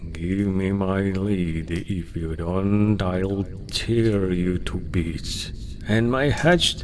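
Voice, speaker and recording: A man talks at a very slow pace in a very deep, low voice. Noticeable background noise runs underneath. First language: Russian. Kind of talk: folk tale audiobook reading.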